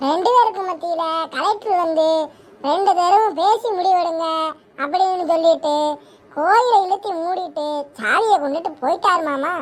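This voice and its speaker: A woman does a squeaky cartoonish character voice at an extremely high pitch with ordinary pitch variation. She speaks at a fairly slow pace. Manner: chatty, rustic.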